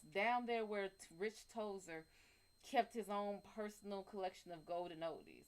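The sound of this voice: Pitch moves in an ordinary way as the text is read in an unforced reading voice.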